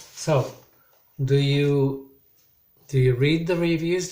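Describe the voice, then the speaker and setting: Somewhat breathy and monotone, a man speaks at a fairly high pitch and a very slow pace with flat intonation. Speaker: English teacher. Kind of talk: recorded online lesson.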